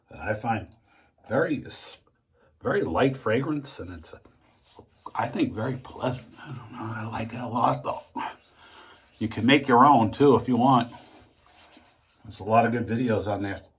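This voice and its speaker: A man with an American accent speaks at a moderate pace in a medium-pitched voice, his intonation fairly even, his loudness swinging widely, and his speech broken by long, frequent pauses. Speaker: shaving video creator. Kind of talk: casual tutorial monologue. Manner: halting.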